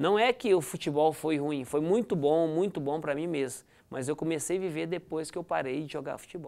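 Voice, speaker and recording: A man's fairly high-pitched voice with a dark, mellow tone, at a moderate pace with hardly any pauses. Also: ordinary pitch variation. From Goiás, Brazil (Goianésia); Goiás, Brazil. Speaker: former footballer; guest. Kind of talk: interview. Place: studio. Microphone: lapel.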